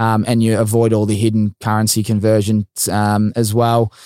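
In a very clean recording with a silent background, a man with an Australian accent talks at a medium pitch in a dark, mellow tone. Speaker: podcast host. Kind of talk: casual interview chat.

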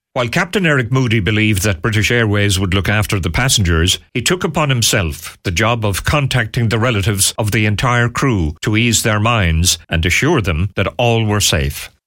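In an Irish accent, a man talks at a moderate pace with hardly any pauses, a fairly low pitch and lively intonation. His loudness stays very even, and the recording is very clean with a silent background. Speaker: radio host. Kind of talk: radio show presenting an interview special.

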